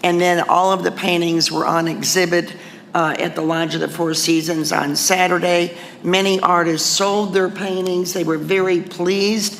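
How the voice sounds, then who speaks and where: Moderate pace against noticeable background noise. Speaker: alderman. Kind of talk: city council meeting. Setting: city hall meeting room. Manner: loud.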